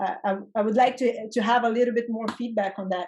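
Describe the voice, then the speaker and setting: A woman speaks with fairly even intonation. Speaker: discussion participant. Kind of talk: group discussion. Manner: hesitant, repeats words.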